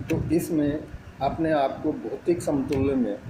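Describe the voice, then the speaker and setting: A fairly high-pitched man's voice with ordinary pitch variation and noticeable background noise. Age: 60s. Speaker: network marketing motivational speaker. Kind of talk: motivational talk.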